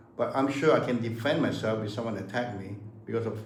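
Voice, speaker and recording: Moderate-paced speech with audible room echo and noticeable background noise. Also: man. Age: 70s. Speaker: martial arts master. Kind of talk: casual chat. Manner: halting.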